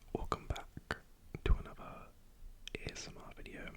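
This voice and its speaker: A man whispers at a fairly slow pace. Background noise is noticeable. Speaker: ASMR creator. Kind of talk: ASMR whispered ramble. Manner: whispered, soft-spoken.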